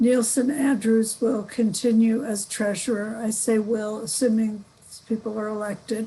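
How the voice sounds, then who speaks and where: In a dark, mellow, somewhat breathy voice, a woman speaks at a moderate pace with monotone, flat intonation. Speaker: nominating committee chair presenting slate. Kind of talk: meeting report. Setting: video call.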